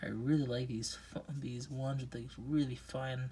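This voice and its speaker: A soft-spoken man with a dark, mellow tone, medium pitch, somewhat breathy delivery, monotone, flat intonation and a very slow pace. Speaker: rock collector video creator. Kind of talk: casual unboxing chat. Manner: hesitant, filler words.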